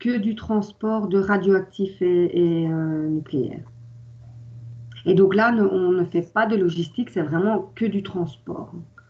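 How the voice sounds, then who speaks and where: A woman at a medium pitch, speaking at a very slow pace. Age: 40s. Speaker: transport company employee. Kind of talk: interview. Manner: hesitant, many fillers.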